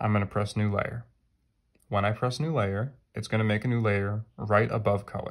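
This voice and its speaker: On a very clean recording with a silent background, a man has a normal speaking voice with a fairly low pitch and fairly even intonation. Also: moderate pace. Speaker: art teacher. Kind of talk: tutorial.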